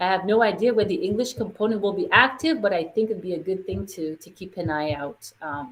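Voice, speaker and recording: An unremarkable speaking voice from a woman, medium in pitch, with lively intonation, big swings in loudness and a fairly quick pace. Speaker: parent workshop presenter. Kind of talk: online workshop presentation. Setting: online video session.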